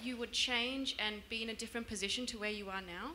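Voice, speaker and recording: At a moderate pace, a woman speaks in a normal speaking voice with a fairly high pitch and ordinary pitch variation, over light background noise. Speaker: family member of the guest. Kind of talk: casual remarks at live event. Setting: stage with audience. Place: hall. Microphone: handheld.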